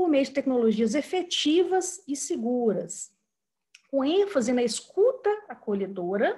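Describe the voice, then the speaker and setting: High, feminine pitch swinging very widely from low to high. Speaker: professor, acupuncture lecturer. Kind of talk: online lecture. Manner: hesitant, repeats words.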